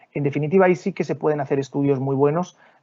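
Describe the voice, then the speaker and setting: A man's fairly high voice with a Spanish accent. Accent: Spanish (Spain). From Spain. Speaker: development bank official. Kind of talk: Q&A answer in a webinar. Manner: halting, repeats words.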